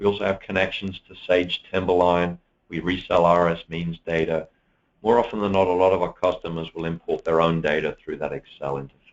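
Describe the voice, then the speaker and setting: Very deep and low, a man's voice holds a fairly even intonation. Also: fairly quick pace. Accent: British. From UK. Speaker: software presenter. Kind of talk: webinar product demo. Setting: online webinar.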